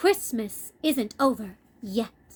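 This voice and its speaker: In a put-on character voice, a woman speaks at a fairly high pitch. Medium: read story. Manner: theatrical, enthusiastic.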